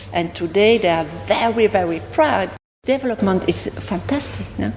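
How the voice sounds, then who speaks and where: Here a woman speaks with a French accent. Her pace is moderate. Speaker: parent of the golfer. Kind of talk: interview.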